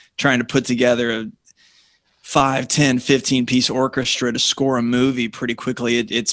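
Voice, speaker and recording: A man with an American accent talks at a moderate pace and medium pitch with fairly even intonation, in an unremarkable speaking voice. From Southern California, Orange County. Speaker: radio host and songwriter. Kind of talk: radio interview.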